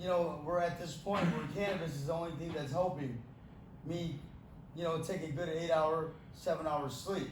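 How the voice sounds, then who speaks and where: A man speaks with a fairly high pitch and fairly even intonation at a moderate pace, leaving long, frequent pauses. There is audible room echo and noticeable background noise. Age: 30s. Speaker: amputee giving a talk on pain and cannabis. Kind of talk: Q&A talk to an audience. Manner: halting, repeats words.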